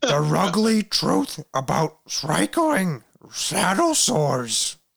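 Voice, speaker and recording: A raspy, put-on character voice at a middle pitch speaks very slowly. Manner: playful, cartoonish.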